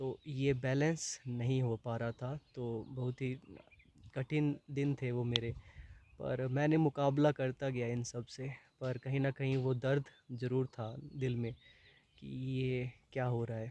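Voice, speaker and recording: A man speaks very slowly at a medium pitch, his tone dark and mellow. His intonation is monotone and flat, and the sound is dry and close with no echo. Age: 20s. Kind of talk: personal talk to camera.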